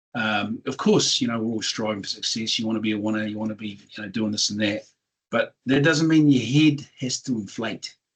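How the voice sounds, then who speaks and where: Speaking at a fairly quick pace with a New Zealand accent, a man keeps a medium pitch with ordinary variation. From New Zealand (regional town). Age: 60s. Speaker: business owner, tech company founder. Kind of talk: interview. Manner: animated.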